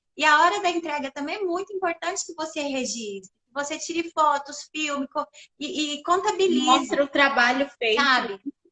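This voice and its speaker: A woman with a high pitch and a bright, sharp tone projects her raised voice at a moderate pace, with ordinary pitch variation. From Brazil, interior of Minas Gerais (Perdizes). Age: 40s. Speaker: communications professional and social project organizer. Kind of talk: casual chat.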